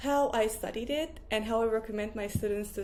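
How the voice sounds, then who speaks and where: There is audible room echo as a woman speaks. Her voice is fairly high with ordinary pitch variation. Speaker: Japanese language teacher. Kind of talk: tutorial.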